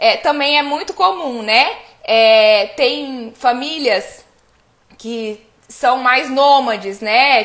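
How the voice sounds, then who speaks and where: High pitch from a woman, with ordinary variation in pitch. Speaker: family constellation coach. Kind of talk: live stream talk. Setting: live stream.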